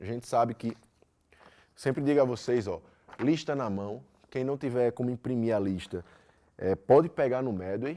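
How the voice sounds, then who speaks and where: Here is a man with a Brazilian accent and a dark, mellow tone. His pitch variation is ordinary, and the recording is very clean with a silent background. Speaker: physics teacher. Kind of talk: lecture. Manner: fast; loud.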